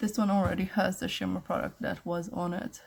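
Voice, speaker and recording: This woman's tone is dark and mellow. Some breathiness runs through her voice. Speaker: beauty vlogger. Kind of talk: tutorial. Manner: casual.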